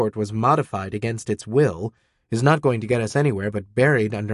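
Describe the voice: Plain reading aloud with ordinary pitch variation, set against a quiet background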